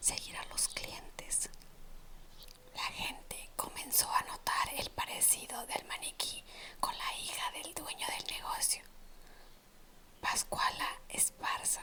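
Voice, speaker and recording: A whispering voice speaks very slowly, broken by long, frequent pauses. Background noise is noticeable throughout. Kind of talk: ASMR whispered storytelling of urban legends. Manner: whispered, soft-spoken.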